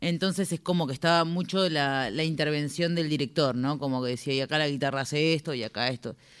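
A woman with a very deep, low voice speaks at a very fast pace with hardly any pauses, on a very clean recording with a silent background. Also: ordinary pitch variation. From Argentina, Buenos Aires conurbano (Remedios de Escalada, Lanús). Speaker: singer-songwriter. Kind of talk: interview chat.

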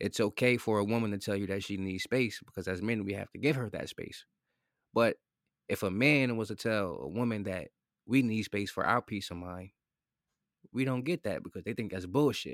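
This man has an unremarkable speaking voice with ordinary pitch variation. He speaks at a moderate pace, with a dry, close sound with no echo. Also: fairly low pitch for a man. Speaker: guest with opinions on relationships. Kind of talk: casual chat. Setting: remote recording during quarantine.

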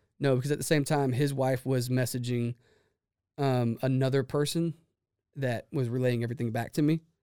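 In a Texan accent, a man speaks at a fairly quick pace and medium pitch, his dark, mellow tone flat and monotone at very even loudness. The recording is very clean, with a silent background and a dry, close sound with no echo. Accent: Texan Southern American. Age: 30s. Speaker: business owner. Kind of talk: casual interview chat. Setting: studio.

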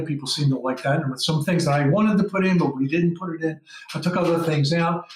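Noticeable background noise runs through the clip. The speaker's pitch variation is ordinary. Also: man. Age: 60s. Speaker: documentary filmmaker. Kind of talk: casual chat. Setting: video call.

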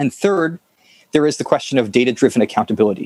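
A man with an ordinary speaking voice, fairly high in pitch and lively in intonation, on a very clean, dry, close recording with a silent background and no echo. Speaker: director of operations at a publication. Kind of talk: scripted narration.

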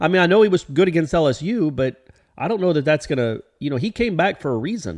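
A man with a slight Southern US accent talks at a fairly quick pace over a quiet background, his fairly high voice moving in very wide pitch swings. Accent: slight Southern twang. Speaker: sports podcast co-host. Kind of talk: casual sports chat.

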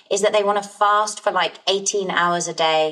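A woman talks with noticeable background noise behind her voice. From England, Essex. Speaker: health coach, former lawyer. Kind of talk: interview.

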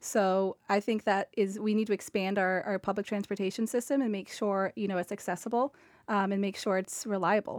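With an American accent and a normal speaking voice, a woman talks at a fairly quick pace in a dry, close sound with no echo on a very clean recording with a silent background. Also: medium pitch for a woman, fairly even intonation. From Cape Cod, Massachusetts. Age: 20s. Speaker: financial underwriter. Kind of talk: radio panel discussion.

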